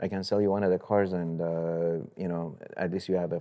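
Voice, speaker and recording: Over a quiet background, a man with a Persian accent speaks at a moderate pace in a very deep, low voice, his tone dark and mellow and his intonation fairly even. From Iran, moved to US at 14. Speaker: real estate investor. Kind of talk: interview.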